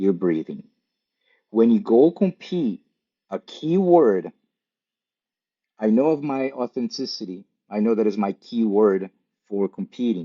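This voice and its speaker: A man speaks at a medium pitch and a fairly slow pace, with very wide pitch swings. Long pauses come often. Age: 50s. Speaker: jiu-jitsu competitor and author. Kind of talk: podcast interview.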